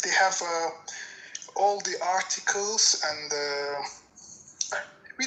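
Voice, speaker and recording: Over noticeable background noise, a woman with an Azerbaijani accent talks very slowly at a fairly low pitch, with ordinary pitch variation. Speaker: viewer. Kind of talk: casual chat. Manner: halting.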